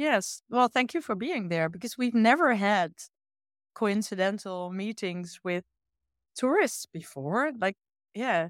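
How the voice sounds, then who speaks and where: With a Dutch accent, a woman speaks fairly slowly at a fairly high pitch, with lively intonation and long, frequent pauses. The very clean recording has a silent background and a dry, close sound with no echo. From eastern Netherlands. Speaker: illustrator and art teacher. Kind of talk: casual interview conversation.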